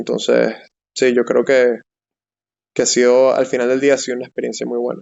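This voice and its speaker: A man talks at a fairly quick pace broken by long, frequent pauses. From Venezuela, Caracas. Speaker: software/STEM professional. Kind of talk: interview. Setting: live stream.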